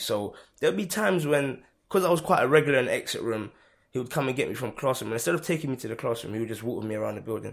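A man with a London accent at a very fast pace, medium pitch and lively intonation, on a very clean recording with a silent background. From London, Hackney. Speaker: youth mentor. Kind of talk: casual interview.

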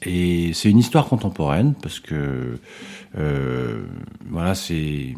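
A man speaks with very wide swings in pitch. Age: 50s. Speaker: musician and music teacher, theatre company director. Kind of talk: casual interview. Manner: hesitant, many fillers.

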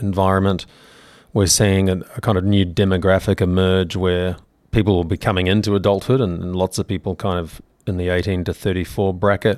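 In a New Zealand accent, a man speaks at a fairly quick pace. His pitch is very deep and low, with fairly even intonation. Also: very clean recording, silent background. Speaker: crypto exchange executive. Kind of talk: podcast interview.

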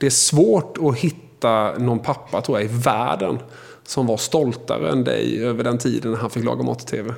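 A man's voice with vocal fry at a moderate pace. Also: medium pitch for a man, ordinary pitch variation. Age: 40s. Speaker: podcast host. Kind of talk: interview.

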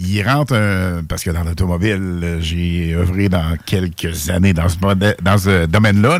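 At a very slow pace, a man speaks with a very deep, low pitch on a very clean recording with a silent background. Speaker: radio host. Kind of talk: casual radio chat. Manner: animated.

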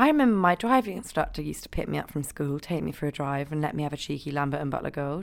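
Very fast and very deep, a woman's low voice carries ordinary pitch variation. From Scotland. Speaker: podcast host and Instagram comedian. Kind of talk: casual chat.

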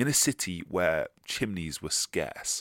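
A man with a very deep, low voice speaks in a warm, animated tone with vocal fry. The recording is very clean, dry and close, with a silent background and no echo. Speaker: history podcast host. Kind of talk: history documentary narration, scripted. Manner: warm, polished, storytelling cadence; animated, festive.

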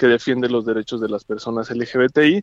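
The sound is dry and close with no echo as a man with an unremarkable speaking voice talks at a medium pitch and a moderate pace. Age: 30s. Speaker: political candidate. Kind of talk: phone interview. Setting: phone call.

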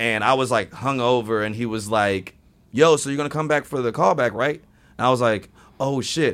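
A man with an American accent has a normal speaking voice at a medium pitch with ordinary pitch variation. He keeps a moderate pace in a very clean recording with a silent background. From US Midwest (Indiana). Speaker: actor and improv comedian. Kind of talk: casual chat.

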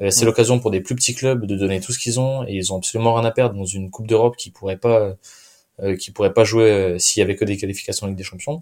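Rattling along at a very fast pace, a man with a fairly low pitch keeps his intonation fairly even on a very clean recording with a silent background. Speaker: football podcast host. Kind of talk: casual chat.

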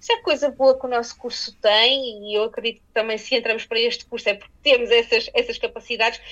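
The speaker talks very fast in a flat monotone. Loudness swings widely. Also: woman, high pitch for a woman. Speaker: TV journalist. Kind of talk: interview.

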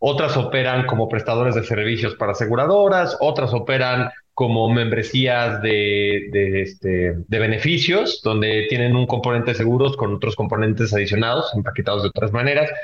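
A man at medium pitch, somewhat breathy, at a moderate pace with hardly any pauses, very even loudness and ordinary pitch variation. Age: 20s. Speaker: podcast host, insurtech association president. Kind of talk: casual chat.

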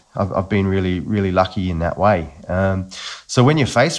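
Against a quiet background, a man with an Australian accent talks in a very deep, low pitch with ordinary pitch variation. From Australia, Newcastle NSW. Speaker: agency founder. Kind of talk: casual chat. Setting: remote recording.

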